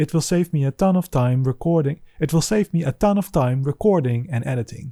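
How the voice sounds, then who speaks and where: Dry and close with no echo, the voice has a dark, mellow tone, is somewhat breathy, and moves at a fairly quick pace with ordinary pitch variation. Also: man, fairly high pitch for a man. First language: not English. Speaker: solo indie game developer. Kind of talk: scripted devlog narration.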